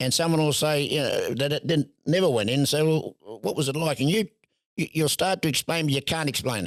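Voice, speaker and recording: Talking at a very fast pace in a strong Australian accent, a man with a fairly high pitch and ordinary pitch variation comes through with a dry, close sound with no echo. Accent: broad Australian. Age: 70s. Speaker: tent boxing promoter and showman. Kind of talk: podcast interview. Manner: halting, repeats words.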